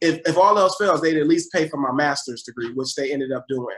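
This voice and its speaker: At a moderate pace, a man in a plain, everyday voice speaks with an American accent, a fairly high pitch and ordinary pitch variation. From Buffalo, New York. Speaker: education advocate. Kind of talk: interview.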